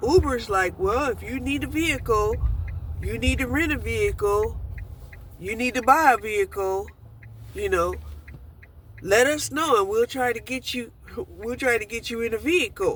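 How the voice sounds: At a moderate pace, a woman talks with fairly high pitch and ordinary pitch variation.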